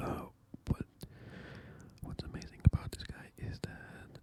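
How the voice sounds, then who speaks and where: A man's whisper. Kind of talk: ASMR pedicure talk. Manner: whispered; casual, hesitant.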